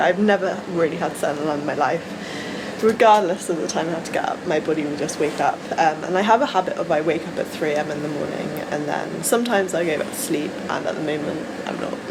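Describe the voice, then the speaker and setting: A woman with an English accent talks very fast in a fairly low voice with lively intonation. Room echo can be heard, along with noticeable background noise. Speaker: vlogger and bodybuilding competitor. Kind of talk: vlog. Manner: loud; animated.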